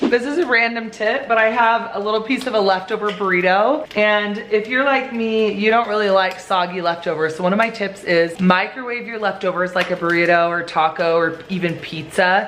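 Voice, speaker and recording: This woman keeps a moderate pace with ordinary pitch variation while noticeable background noise plays behind her. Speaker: family lifestyle vlogger, mother of eight. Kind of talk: casual talk to camera. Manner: upbeat.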